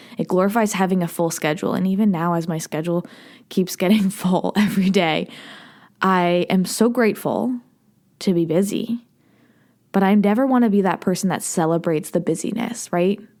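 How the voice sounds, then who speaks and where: Her pitch is medium for a woman, with ordinary variation, as she speaks at a fairly quick pace. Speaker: podcast host. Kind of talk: solo podcast monologue. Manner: normally fast and fired up.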